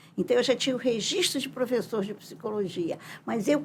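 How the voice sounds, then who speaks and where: This woman's voice has vocal fry and swings very widely in pitch. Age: 80s+. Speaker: psychologist and professor. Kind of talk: interview.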